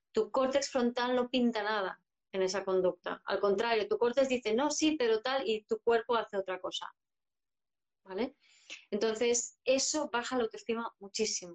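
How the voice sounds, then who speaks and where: A woman's ordinary speaking voice, fairly high in pitch, at a moderate pace with ordinary pitch variation. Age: 50s. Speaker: psychologist and astrologer. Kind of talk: interview conversation. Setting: live video stream.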